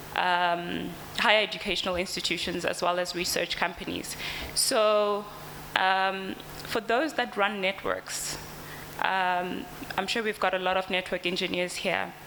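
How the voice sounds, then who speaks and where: Over noticeable background noise and audible room echo, a woman speaks at a fairly slow pace. Her medium pitch, fairly even intonation, and very even loudness hold throughout. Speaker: company representative presenting products. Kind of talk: conference presentation. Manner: hesitant, many fillers.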